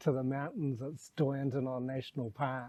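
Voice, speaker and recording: A man's dark, mellow tone, relaxed. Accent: New Zealand. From New Zealand. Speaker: expat vlogger and homestay owner. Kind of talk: casual vlog talk to camera.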